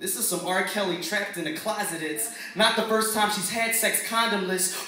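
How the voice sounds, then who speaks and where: Against noticeable background noise, a man with an American accent uses a raised, projected voice at a high pitch. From Philadelphia. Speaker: lyricist, spoken word performer. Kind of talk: spoken word poetry performance. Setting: live open mic in front of a crowd.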